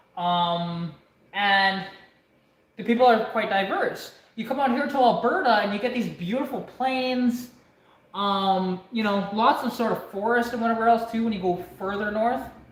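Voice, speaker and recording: A woman with a Canadian accent speaks at a moderate pace in a fairly high pitch with ordinary pitch variation, and audible room echo surrounds her. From Canada. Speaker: mechanic vlogger. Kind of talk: casual chat.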